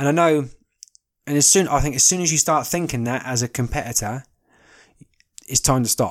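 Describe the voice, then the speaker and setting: A man with a southern English accent speaks at a fairly quick pace and a fairly high pitch. His pitch varies in an ordinary way, broken by long, frequent pauses. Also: very clean recording, silent background. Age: 20s. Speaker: podcast host. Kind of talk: casual monologue. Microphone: new recording equipment.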